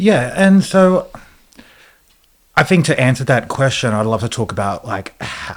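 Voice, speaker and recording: With an Australian accent, the speaker goes at a fairly slow pace, using very wide pitch swings and long, frequent pauses. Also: man, medium pitch for a man. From Australia, Sydney. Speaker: educator and trainer. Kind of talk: interview conversation. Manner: hesitant, many fillers.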